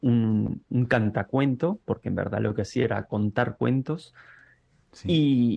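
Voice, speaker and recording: The speech moves at a very slow pace. Its loudness stays very even throughout. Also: man, medium pitch for a man, ordinary pitch variation. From Uruguay. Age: 40s. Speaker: guitarist and music teacher. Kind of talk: interview conversation. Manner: halting, with many repetitions and fillers.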